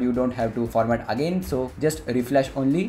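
With background music playing, a man's fairly quick speech shows ordinary pitch variation. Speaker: tech YouTuber. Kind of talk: tutorial. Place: home room.

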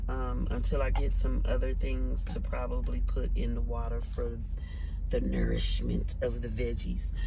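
A woman talks rather slowly as noticeable noise fills the background. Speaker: truck driver. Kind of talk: casual talk to camera. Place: car. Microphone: phone near.

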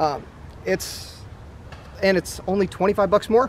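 A man's high-pitched voice, dry with no echo, over light background noise. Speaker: product reviewer. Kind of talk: product review talk to camera. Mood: enthusiastic. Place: open country.

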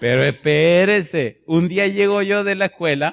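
A man speaks in an animated tone at a fairly slow pace. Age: 50s. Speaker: pastor. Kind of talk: sermon. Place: church. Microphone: handheld.

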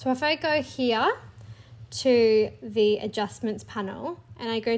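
Her high pitch stands out as a woman speaks at a very slow pace. The recording is very clean, with a silent background. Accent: Australian. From Australia. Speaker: teacher and clipart creator. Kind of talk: tutorial. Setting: home recording, screen tutorial.

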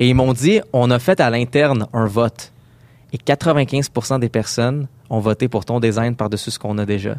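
With fairly even intonation, a man speaks fairly slowly at medium pitch in a normal speaking voice. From Quebec, Montreal area. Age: 20s. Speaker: UX designer. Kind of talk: interview.

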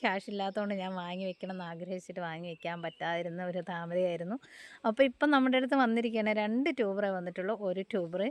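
A woman has a plain, everyday voice at a medium pitch with ordinary pitch variation and big swings in loudness. The background is quiet. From Kerala, Kozhikode. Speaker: plant seller and vlogger. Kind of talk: sales pitch. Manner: casual chatty.

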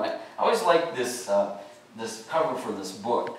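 Strong room echo fills the recording. A man is speaking. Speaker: pastor. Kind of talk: sermon. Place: church.

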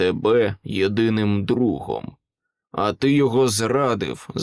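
In an unforced reading voice with ordinary pitch variation, someone reads over a quiet background.

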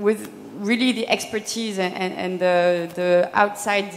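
The speech moves at a fairly slow pace with fairly even intonation. Light background noise sits underneath. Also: woman. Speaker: panelist. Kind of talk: panel self-introduction. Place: stage. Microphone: handheld.

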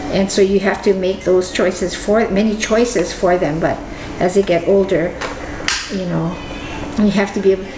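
With long, frequent pauses and noticeable background noise, a woman talks at a moderate pace in a monotone, flat intonation. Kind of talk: casual conversation. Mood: reflective, warm. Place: kitchen. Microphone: camera far.

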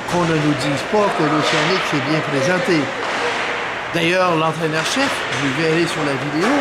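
A man's voice amid loud background noise. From Quebec. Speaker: sports commentator. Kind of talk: post-game hockey match recap commentary. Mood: calm, mildly critical. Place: stadium. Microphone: phone near.

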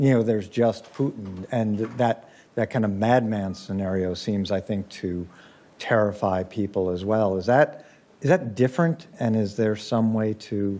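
A man speaks at a fairly slow pace with a fairly low pitch, ordinary pitch variation and a dark, mellow tone. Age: 60s. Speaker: university center director, moderator; moderator. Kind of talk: panel discussion moderation. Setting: stage with in-person audience. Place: hall. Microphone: podium.

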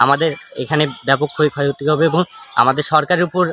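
Here a man speaks at a fairly high pitch with fairly even intonation. The sound is dry with no echo, over light background noise. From northern Bangladesh. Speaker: son of a persecuted landowner. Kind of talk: testimony. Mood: earnest, aggrieved. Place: open country. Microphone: phone near.

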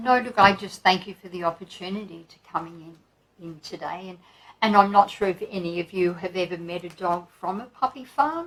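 Speaking at a fairly quick pace, a woman's fairly low, fairly bright voice moves with ordinary pitch variation.

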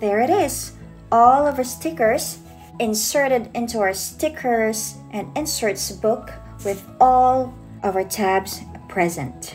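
A woman's very slow delivery over background music. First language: not English. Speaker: digital planner shop owner. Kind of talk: software tutorial voice-over.

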